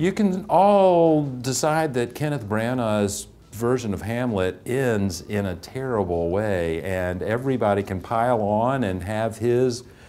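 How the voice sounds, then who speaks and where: Music plays in the background and the room echo is audible. A man at a medium pitch speaks at a fairly slow pace with lively intonation. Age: 60s. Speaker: English teacher. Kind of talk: testimonial interview.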